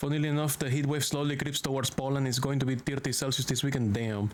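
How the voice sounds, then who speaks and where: The speaker talks at a very fast pace with a Spanish accent. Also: man. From Venezuela. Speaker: VTuber streamer. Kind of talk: live gaming stream commentary. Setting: home streaming room. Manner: animated, noisy.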